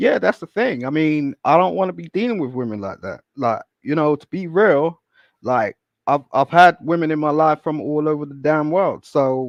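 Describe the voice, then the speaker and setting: A man with a British accent, lively intonation and a moderate pace, against a quiet background in a dry, close sound without echo. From London, England. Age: 40s. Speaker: guest. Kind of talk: casual chat.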